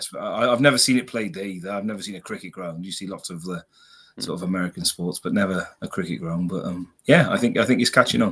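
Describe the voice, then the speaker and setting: A man with a Welsh accent talks at a very fast pace against a quiet background, his fairly low pitch showing ordinary pitch variation and big swings in loudness. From Wales, lives in Wolverhampton. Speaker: podcast guest.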